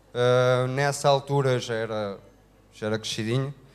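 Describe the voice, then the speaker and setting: A man speaks at a fairly slow pace in a medium pitch. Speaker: couple telling their life story. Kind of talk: testimony. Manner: halting, many fillers.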